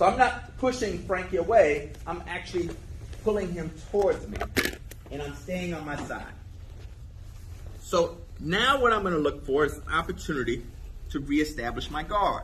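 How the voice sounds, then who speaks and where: A man with a high voice speaks at a moderate pace with lively intonation, big swings in loudness, long and frequent pauses, and audible room echo. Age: 50s. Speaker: jiu jitsu instructor. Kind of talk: tutorial. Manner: casual.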